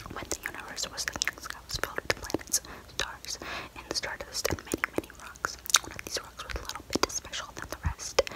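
A woman is whispering at a fairly quick pace. She is soft-spoken. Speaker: storyteller. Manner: soft close whisper, storytelling. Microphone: phone near.

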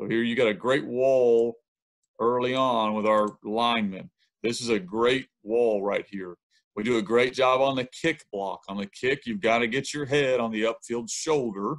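Speaking with a Southern US accent, a man keeps a moderate pace, a medium pitch and ordinary pitch variation on a very clean recording with a silent background. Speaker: high school football coach. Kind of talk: coaching clinic presentation.

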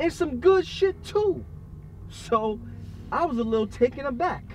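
Faint music plays in the background. A man speaks with a dry sound and no echo. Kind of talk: dramatic storytelling monologue. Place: car.

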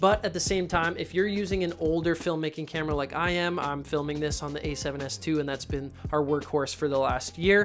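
A man speaks with hardly any pauses and ordinary pitch variation. Faint music plays in the background. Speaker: filmmaker reviewer. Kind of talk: product review. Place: home room. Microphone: lapel.

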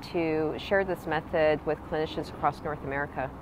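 A woman speaks at a moderate pace with fairly even intonation. The sound is dry with no echo, and there is noticeable background noise. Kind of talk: prepared promotional talk. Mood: calm and friendly. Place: waterside. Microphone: phone near.

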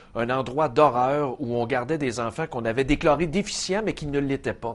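Here a man speaks with ordinary pitch variation. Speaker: TV show host. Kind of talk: commentary. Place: studio. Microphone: lapel.

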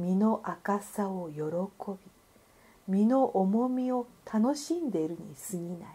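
Somewhat breathy, a woman of medium pitch with a dark, mellow tone speaks very slowly with lively intonation. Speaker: narrator. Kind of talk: literary essay reading.

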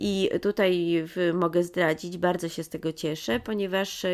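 A woman's fairly low-pitched voice at a moderate pace, with fairly even intonation, in a very clean recording with a silent background. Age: 40s. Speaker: children's book author. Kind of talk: interview. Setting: bookshop. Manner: halting.

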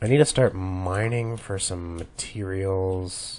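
A man speaks with a very deep, low pitch and ordinary pitch variation. Noticeable background noise can be heard. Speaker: gamer. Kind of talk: let's play commentary. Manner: casual, rambling.

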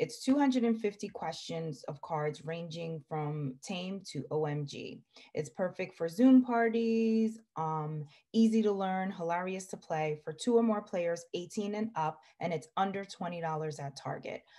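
A woman with a dark, mellow tone and a somewhat breathy voice speaks at a very slow pace, with hardly any pauses and a quiet background. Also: lively intonation. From Jamaica. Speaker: podcast host, gift guide vlogger. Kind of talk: casual product showcase vlog. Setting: video call. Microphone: webcam.

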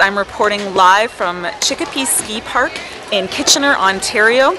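Noticeable background noise sits under a woman speaking at a fairly slow pace in a dry sound with no echo. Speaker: activities instructor acting as reporter. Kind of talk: news-style report. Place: open country. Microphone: handheld.

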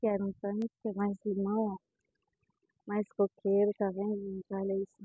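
Against a quiet background, a woman speaks at a medium pitch with flat, monotone intonation and long, frequent pauses. The sound is dry, with no echo. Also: fairly slow pace. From Brazil, Ceará interior (Limoeiro do Norte). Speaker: rural farmer vlogger. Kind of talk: casual vlog walkthrough. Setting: outdoors on a farm. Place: farm machine. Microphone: phone near.

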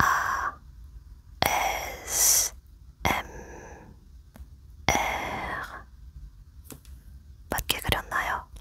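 A woman whispers extremely slowly, stopping often for long stretches. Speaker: ASMR creator. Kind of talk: ASMR soft talking. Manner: soft-spoken, gentle. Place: home room.

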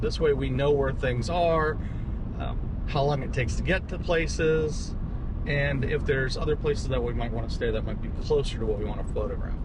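A man speaks at a fairly quick pace. The sound is dry with no echo, though noticeable background noise is present. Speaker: photography vlogger. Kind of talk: casual vlog chat. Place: car. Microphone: camera far.

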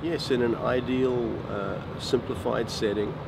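A man talks with ordinary pitch variation. Loud background noise runs underneath. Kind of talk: interview answer. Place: street.

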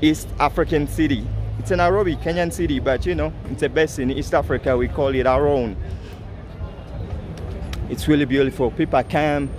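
With music in the background, a man speaks at a moderate pace with ordinary pitch variation and long, frequent pauses, the sound dry with no echo. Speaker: city walk vlogger. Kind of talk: casual vlog chat. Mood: enthusiastic, proud. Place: street. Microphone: phone near.

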